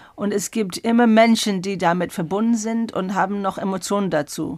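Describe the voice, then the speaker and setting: At a moderate pace and with ordinary pitch variation, a woman speaks on a very clean recording with a silent background. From England. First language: English (speaking German). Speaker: exhibition curator. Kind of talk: interview. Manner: halting.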